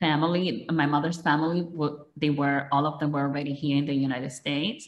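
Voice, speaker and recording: A woman with a Dominican accent speaks in a very deep, low voice with fairly even intonation. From Dominican Republic. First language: Spanish. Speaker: politician. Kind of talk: interview. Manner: halting.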